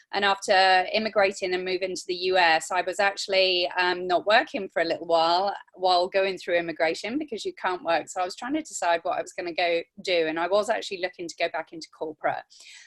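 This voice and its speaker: In an English accent, a woman talks very fast at a medium pitch with ordinary pitch variation. The sound is dry and close, with no echo. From England. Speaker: network marketing consultant. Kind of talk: testimony.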